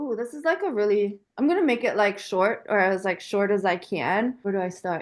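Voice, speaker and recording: With a German accent, a woman talks at a moderate pace and medium pitch, her intonation lively and hardly any pauses between words. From Germany until age 12, then Washington DC / Virginia area. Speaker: equestrian business owner. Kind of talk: interview. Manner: casual, filler-heavy.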